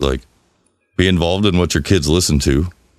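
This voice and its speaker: A man's voice with vocal fry and ordinary pitch variation. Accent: American. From US South. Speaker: podcast co-host. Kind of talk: casual chat.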